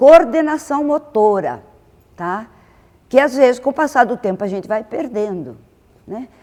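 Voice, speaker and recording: The speaker talks at a fairly slow pace with lively intonation and big swings in loudness. Long pauses come often. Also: woman, high pitch for a woman. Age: 70s. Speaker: masters swimmer. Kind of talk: talk to an audience. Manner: halting.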